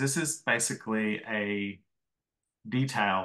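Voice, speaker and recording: A man's bright, sharp voice with ordinary pitch variation against a quiet background. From Australia, Melbourne. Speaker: comics artist and small press publisher. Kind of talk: lecture.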